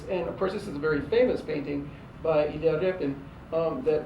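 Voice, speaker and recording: A man talks at a fairly quick pace with ordinary pitch variation. Room echo is audible, along with noticeable background noise. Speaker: professor. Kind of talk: lecture. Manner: hesitant, many fillers and repetitions; fast.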